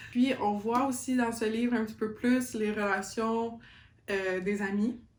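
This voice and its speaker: With a Quebec accent, a woman with a fairly high pitch speaks at a fairly slow pace amid audible room echo. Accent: Québécois French. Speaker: book YouTuber. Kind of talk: casual vlog book review. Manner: animated, code-switching French and English.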